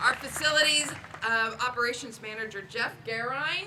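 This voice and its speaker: A woman's raised, projected voice at a moderate pace with ordinary pitch variation, audible room echo and crowd noise behind her. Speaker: library official. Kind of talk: ceremonial speech.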